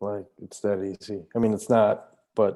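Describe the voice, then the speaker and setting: The voice carries a Spanish accent and a dark, mellow tone. It moves at a moderate pace in a monotone, flat intonation. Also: man. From Mexico. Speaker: artist, podcast guest. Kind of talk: casual chat.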